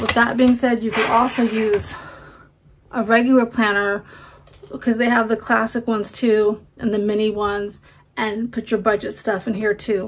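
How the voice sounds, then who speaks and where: Fairly high-pitched, monotone, flat speech from a woman at a moderate pace, with light background noise. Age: 40s. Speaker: homemaking vlogger. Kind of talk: casual vlog talk. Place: home room. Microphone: phone near.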